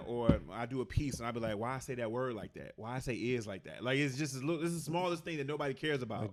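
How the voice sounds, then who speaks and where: A man with a Detroit accent talks at a very fast pace, with hardly any pauses. His pitch is medium. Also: ordinary pitch variation. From Detroit, USA. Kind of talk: casual, conversational.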